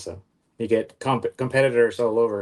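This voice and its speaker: In a quiet background, a man with an American accent speaks at a moderate pace, his fairly low pitch carried by fairly even intonation. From Texas, Houston. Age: 30s. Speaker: auto glass repair business owner. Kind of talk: interview. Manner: halting, many fillers.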